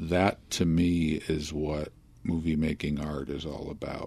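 In an American accent, a man speaks at a fairly slow pace with a very deep, low pitch and monotone, flat intonation. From US, Philadelphia. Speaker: film critic. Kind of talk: interview.

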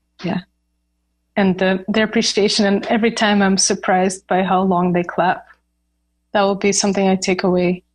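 Delivery is monotone with flat intonation and very even loudness at a moderate pace. Long, frequent pauses break it up. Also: woman, medium pitch for a woman. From Ukraine. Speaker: professional cellist. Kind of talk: interview conversation.

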